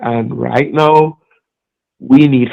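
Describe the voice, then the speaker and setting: A man speaks with a Trinidadian accent. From Trinidad and Tobago. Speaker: music artist. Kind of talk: interview.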